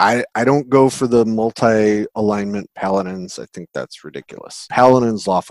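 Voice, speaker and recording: With an American accent and an unremarkable speaking voice, a man talks at a moderate pace and medium pitch with ordinary pitch variation, hardly any pauses and big swings in loudness, the sound dry and close with no echo. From US Pacific Northwest (Seattle). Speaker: tabletop RPG game designer. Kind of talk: casual interview chat.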